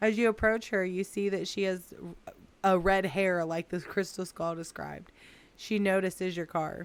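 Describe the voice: The text is read out plainly. Its intonation is fairly even.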